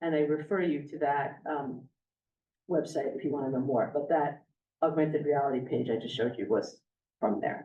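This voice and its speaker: Long, frequent pauses break up a woman's very deep, low voice, which has ordinary pitch variation. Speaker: astronomy professor. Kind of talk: lecture. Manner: fast.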